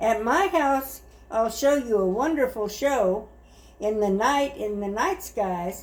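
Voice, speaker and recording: A woman speaks very slowly with lively intonation. Her pitch is fairly high. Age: 70s. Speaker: grandmother reading stories. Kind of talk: children's book read-aloud.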